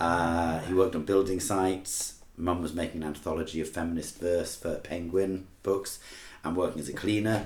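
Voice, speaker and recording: At a moderate pace, a man with a very deep, low voice speaks in a somewhat breathy, monotone, flat way, with audible room echo. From England, Manchester. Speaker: rock band lead singer and teacher. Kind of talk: casual interview chat.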